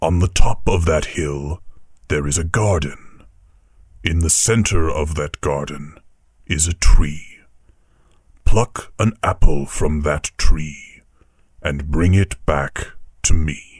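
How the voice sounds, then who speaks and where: A man's put-on character voice, very deep and low, at a fairly slow pace with long, frequent pauses. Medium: read story. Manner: grave, measured, warmly authoritative.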